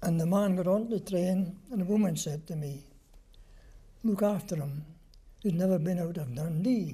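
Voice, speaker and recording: Using a Scottish accent, a man speaks with a high pitch and a dark, mellow tone. His moderate pace and ordinary pitch variation are broken by long, frequent pauses. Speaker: war veteran. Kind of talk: interview answer.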